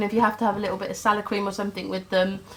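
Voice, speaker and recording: A woman with a fairly high pitch talks over noticeable background noise. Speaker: vlogger. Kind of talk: casual talk to camera.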